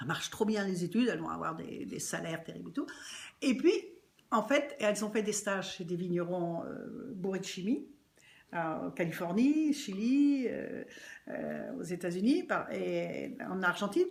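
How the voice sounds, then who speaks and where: A woman's medium-pitched voice with vocal fry, very wide pitch swings, big jumps in loudness, and a fairly slow pace. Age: 70s. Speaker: winery co-owner, former actress. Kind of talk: casual interview.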